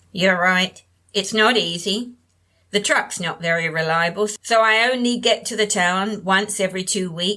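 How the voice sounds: The speaker uses a natural reading voice and ordinary pitch variation.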